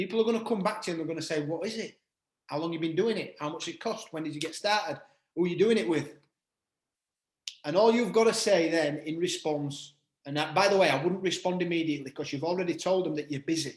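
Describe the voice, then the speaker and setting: A man with a British accent, very fast and high-pitched for a man, with ordinary pitch variation. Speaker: network marketing trainer. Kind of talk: online group call training.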